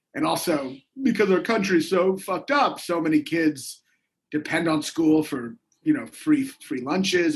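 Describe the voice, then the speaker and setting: Lively intonation from a man at a moderate pace. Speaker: comedian. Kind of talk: casual chat. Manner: loud.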